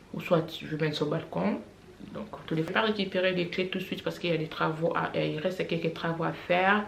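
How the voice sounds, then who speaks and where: Room echo is audible and background noise noticeable as a woman talks fairly quickly. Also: fairly low pitch for a woman, ordinary pitch variation. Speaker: family vlogger. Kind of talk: casual vlog monologue. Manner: hesitant, many fillers.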